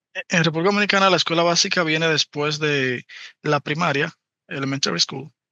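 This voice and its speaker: A man's fairly high voice, a normal speaking voice, at a fairly quick pace with very even loudness and fairly even intonation. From Dominican Republic, Santo Domingo. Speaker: interpreter. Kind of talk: interview.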